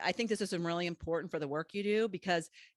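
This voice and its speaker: A woman speaks in a normal speaking voice, fairly low in pitch and fairly even in intonation. The sound is dry and close with no echo, against a quiet background. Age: 50s. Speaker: podcast host and business coach. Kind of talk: interview.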